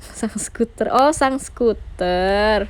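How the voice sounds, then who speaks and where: A woman at a medium pitch with ordinary pitch variation. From West Java, Indonesia (Sundanese family). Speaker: idol group member live streaming. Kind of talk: casual live stream chat. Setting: home live stream, radio mode without camera. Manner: casual, chatty.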